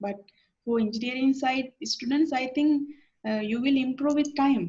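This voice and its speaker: A woman talks in a Sri Lankan accent. Her pitch is high and her pace moderate. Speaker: university lecturer. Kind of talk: lecture. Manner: halting, many fillers.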